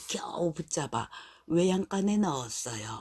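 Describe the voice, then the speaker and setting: In a gentle, soothing tone, a woman with a fairly low pitch speaks with lively intonation, the sound dry and close with no echo. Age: old. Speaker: storyteller. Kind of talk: children's bedtime story.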